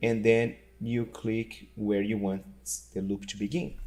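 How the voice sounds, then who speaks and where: A man talking at a fairly slow pace. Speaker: music teacher and software creator. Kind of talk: tutorial. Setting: screen recording. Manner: loud.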